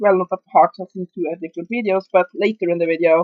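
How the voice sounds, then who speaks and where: Delivered with a strong Norwegian accent, the speech keeps a moderate pace and ordinary pitch variation. The sound is dry and close, with no echo. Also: woman. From Norway. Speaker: video reviewer. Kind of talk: casual movie review monologue. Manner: halting, many fillers.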